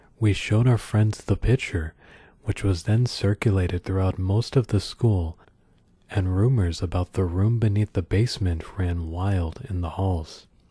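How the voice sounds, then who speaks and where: A man whispers at a moderate pace, soft-spoken and somewhat breathy. The sound is dry and close with no echo, on a very clean recording with a silent background. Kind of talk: soft-spoken creepypasta reading for ASMR. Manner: soft-spoken, whispery.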